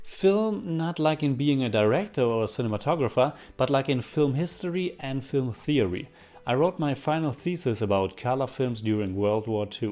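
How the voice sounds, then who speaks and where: With a strong German accent, a man speaks at a moderate pace in a medium-pitched voice, his tone dark and mellow and his intonation lively. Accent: thick German. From Germany, North Rhine-Westphalia. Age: 30s. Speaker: film reviewer YouTuber. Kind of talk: Q&A video monologue.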